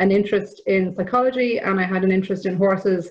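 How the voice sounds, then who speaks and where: A woman talks in an Irish accent at a fairly quick pace. Her pitch sits in the medium range. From Ireland. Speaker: equine therapy provider. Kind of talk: conference presentation.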